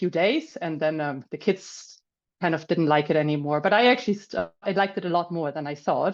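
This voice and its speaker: A woman with a German accent speaks at a fairly quick pace and a fairly low pitch. Her pitch varies in an ordinary way against a quiet background. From Germany. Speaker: finance professional and landowner. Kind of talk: webinar talk. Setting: video call.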